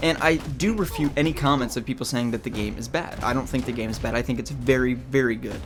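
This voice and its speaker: A man talks very fast over music playing in the background. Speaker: gaming youtuber. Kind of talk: rant video. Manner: halting, stuttering.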